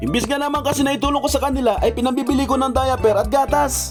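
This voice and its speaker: A man's extremely high voice, very fast and fairly even in intonation, with music in the background. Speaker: stay-at-home father and plant grower. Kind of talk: humorous voice-over monologue.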